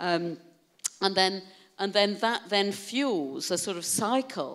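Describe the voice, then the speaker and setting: A woman with a British accent against a quiet background. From UK. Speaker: keynote speaker on wellbeing; keynote speaker. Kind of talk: keynote talk to an audience. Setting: stage with audience. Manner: animated. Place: hall. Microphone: handheld.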